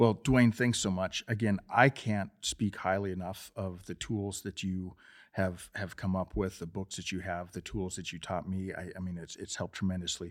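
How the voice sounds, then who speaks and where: Over a silent background in a very clean recording, a man with a very deep, low voice speaks at a moderate pace with fairly even intonation and hardly any pauses. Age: 50s. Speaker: podcast host. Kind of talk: interview. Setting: studio.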